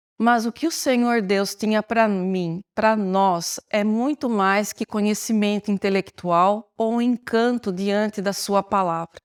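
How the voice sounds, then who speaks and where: At a very slow pace yet with hardly any pauses, a woman speaks in fairly even intonation on a very clean recording with a silent background and a dry, close sound with no echo. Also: medium pitch for a woman. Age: 60s. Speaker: church member giving testimony. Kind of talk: testimony.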